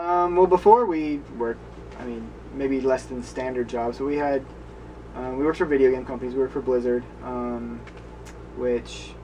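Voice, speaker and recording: A man talks at a moderate speed, leaving long, frequent pauses, while noticeable noise sounds in the background. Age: 20s. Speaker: travel blogger. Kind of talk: casual interview.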